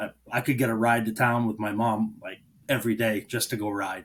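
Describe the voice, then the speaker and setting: At a fairly quick pace, a man with an American accent speaks at a medium pitch. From rural western Maine, US. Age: 30s. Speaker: welder and fabrication shop owner. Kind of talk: podcast interview, casual chat. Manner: halting, with many fillers.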